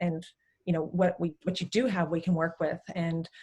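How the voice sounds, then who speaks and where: Speaking with an American accent, a woman uses a fairly low, somewhat breathy voice. Her intonation is monotone and flat. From Texas. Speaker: physiotherapist. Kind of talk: interview chat. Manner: many hesitations (um).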